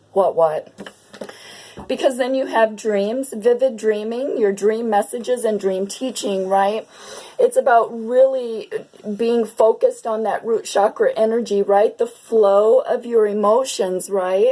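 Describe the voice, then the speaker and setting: Against noticeable background noise, a woman speaks fairly slowly at a fairly high pitch with fairly even intonation. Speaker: tarot reader. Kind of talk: tarot reading.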